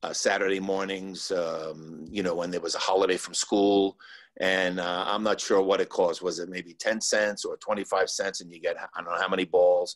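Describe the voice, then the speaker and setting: A man talks at a moderate pace against a quiet background. His loudness swings a great deal. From New Jersey, Cliffside Park. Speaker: former park worker. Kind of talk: panel interview. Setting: video call. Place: home room. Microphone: video call.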